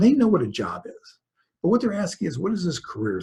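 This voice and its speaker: Vocal fry runs through a voice with very wide pitch swings. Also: man. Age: 60s. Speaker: author and speaker on work in later life. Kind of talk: webinar presentation. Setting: online webinar. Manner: conversational.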